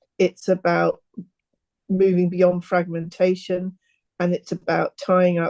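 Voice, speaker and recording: At a moderate pace, a woman with a medium pitch and a dark, mellow tone is heard in a dry, close sound with no echo. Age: 60s. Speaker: aspiring author. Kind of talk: interview.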